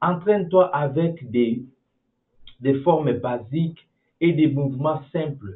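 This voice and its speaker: This man has a non-native accent and a fairly high pitch with ordinary variation. He talks at a very slow pace. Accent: non-native French, apologizes for his French. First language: English (speaking French). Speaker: animation tutorial creator. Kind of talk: tutorial. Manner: halting, many repetitions; casual, informal.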